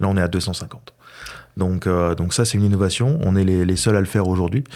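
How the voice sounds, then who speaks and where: Speaking at a fairly quick pace, a man with a fairly low pitch, ordinary pitch variation and a dark, mellow tone is heard on a very clean recording with a silent background. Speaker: paint company regional affairs director. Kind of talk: podcast interview. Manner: hesitant, many fillers.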